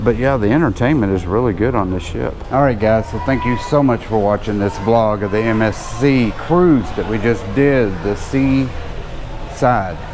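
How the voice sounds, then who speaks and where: A man speaks with hardly any pauses and ordinary pitch variation, with audible room echo and music in the background. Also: medium pitch for a man, moderate pace. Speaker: travel vlogger. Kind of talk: casual vlog recap. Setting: aboard a cruise ship.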